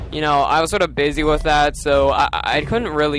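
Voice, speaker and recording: A man's voice against noticeable background noise. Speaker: video game let's player. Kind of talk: gameplay commentary, post-recorded. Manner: hesitant, many fillers.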